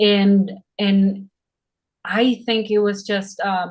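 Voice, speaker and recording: A somewhat breathy woman's voice of medium pitch, at a very slow pace. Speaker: actress. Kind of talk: interview.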